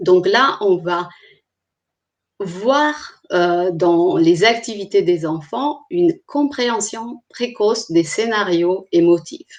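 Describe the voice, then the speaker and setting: The speaker has a non-native accent and a very slow pace. Pitch swings very widely. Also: woman, medium pitch for a woman. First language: not French (speaking French). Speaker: clinical psychologist. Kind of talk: online presentation. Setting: live stream. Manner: hesitant, with frequent fillers.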